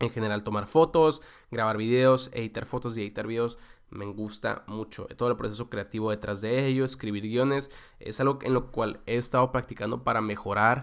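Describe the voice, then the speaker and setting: A man speaks in a Mexican accent with fairly even intonation on a very clean recording with a silent background. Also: medium pitch for a man, moderate pace. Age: 20s. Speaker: podcast host. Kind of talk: solo podcast monologue. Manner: casual, with frequent fillers and repetitions.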